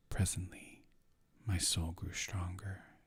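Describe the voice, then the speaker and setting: Somewhat breathy and very deep, a man's voice moves at a very slow pace with monotone, flat intonation. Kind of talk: poetry reading.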